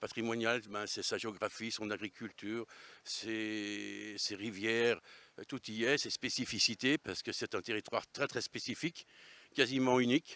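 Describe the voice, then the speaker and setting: Fairly slow, fairly even intonation in a bright, sharp tone, with a dry, close sound with no echo on a very clean recording with a silent background. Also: man, medium pitch for a man. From Savoy, France (Albanais area). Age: 60s. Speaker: regional political activist. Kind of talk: interview. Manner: hesitant, many fillers.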